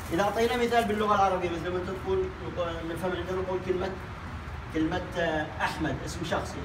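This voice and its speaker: Noticeable background noise sits behind a man with a Yemeni accent. He talks at a fairly quick pace, pitched high, with ordinary pitch variation. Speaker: English teacher. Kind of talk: language lesson. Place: classroom. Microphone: camera far.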